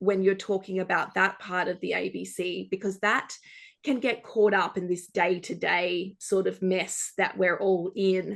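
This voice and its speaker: With an Australian accent, a woman speaks at a medium pitch and a fairly slow pace. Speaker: journalist. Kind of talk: panel discussion. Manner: animated, many fillers.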